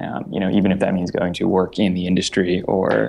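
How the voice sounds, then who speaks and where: A man's very deep, low voice with vocal fry. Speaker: education startup founder. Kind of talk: interview. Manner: halting, many fillers.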